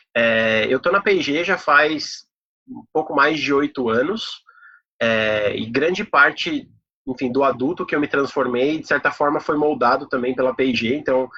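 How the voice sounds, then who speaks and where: A man with a fairly high pitch and an unremarkable speaking voice talks at a fairly slow pace, with ordinary pitch variation. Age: 30s. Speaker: corporate professional giving a talk. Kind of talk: online talk presentation. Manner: casual, many filler words.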